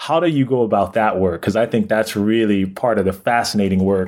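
A man with an ordinary speaking voice talks at a fairly quick pace and fairly low pitch. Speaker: guest co-host. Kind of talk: interview.

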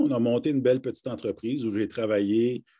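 A man's dark, mellow voice at medium pitch, with ordinary pitch variation, over a quiet background. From northern Ontario, near Kapuskasing. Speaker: university rector. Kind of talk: live interview. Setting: video call. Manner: hesitant, frequent fillers and repetitions.

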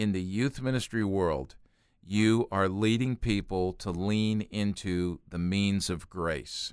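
A man speaks at a very slow pace in a fairly low voice with ordinary pitch variation. The recording is very clean, with a silent background. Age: 60s. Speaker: youth ministry organization president. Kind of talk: casual chat. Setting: studio.

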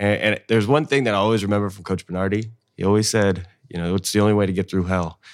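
Fairly low in pitch, this man speaks at a fairly quick pace. He has a normal speaking voice. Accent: American. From US West Coast, Sacramento, California. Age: 20s. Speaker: former college football player and real estate investor. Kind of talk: casual chat.

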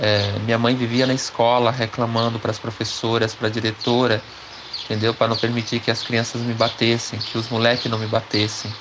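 Noticeable noise sits in the background. The delivery is flat and monotone. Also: man, medium pitch for a man, fairly quick pace. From interior of São Paulo state, Pindamonhangaba. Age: 40s. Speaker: interviewee telling his life story. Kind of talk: life-story interview.

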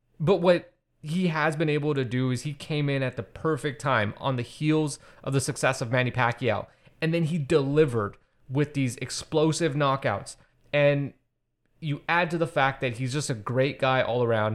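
A man with an unremarkable speaking voice, fairly high-pitched, with ordinary pitch variation and a moderate pace, on a very clean recording with a silent background. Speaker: podcast host. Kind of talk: casual chat.

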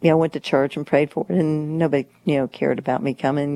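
A woman with a Kentucky accent has a very deep, low pitch and a dark, mellow tone, heard in a dry, close sound with no echo. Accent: Kentucky, US South. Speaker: guest's wife. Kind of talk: interview.

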